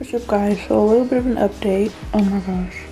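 Clear music plays behind a woman as she speaks. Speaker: vlogger. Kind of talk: casual vlog chat. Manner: groggy, muffled, sore-mouthed talk. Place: home room. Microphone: phone near.

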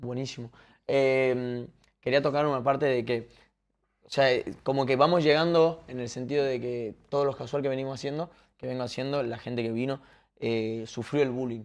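Fairly even intonation runs through speech at a moderate pace. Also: man. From Argentina, Tucumán; Argentina. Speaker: podcast and stream host; podcast, stream host. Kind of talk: casual interview chat. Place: home room.

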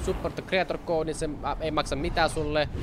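Over light background noise, a man speaks in an animated tone at a fairly high pitch. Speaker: gaming YouTuber. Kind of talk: live gameplay commentary. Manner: fast. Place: home room.

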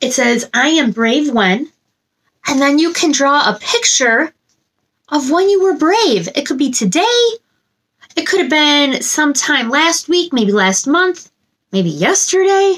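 A woman speaks at a fairly slow pace in a high voice that swings very widely in pitch, pausing long and often against a quiet background. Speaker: children's story time host. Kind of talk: animated talk to children. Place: home room.

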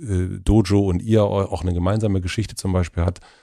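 A dark, mellow tone carries at a moderate pace. The recording is very clean, with a silent background. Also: man. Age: 40s. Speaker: podcast host. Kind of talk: interview conversation.

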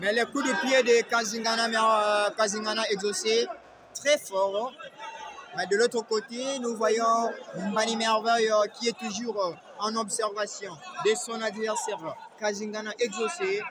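With crowd noise in the background, a man speaks at a very slow pace with long, frequent pauses. His pitch is high, with ordinary variation, in a dry sound with no echo. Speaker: martial arts commentator. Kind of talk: live commentary of a fight, addressing an audience. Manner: halting, hesitant, with many fillers and repeats. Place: hall.

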